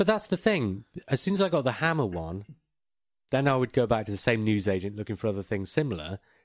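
A man talks very fast with an English accent and lively intonation. The recording is very clean, with a silent background. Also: medium pitch for a man. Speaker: podcast host. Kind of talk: casual chat.

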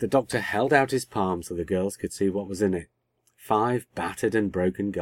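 With ordinary pitch movement, the voice reads in an unforced way against a quiet backdrop.

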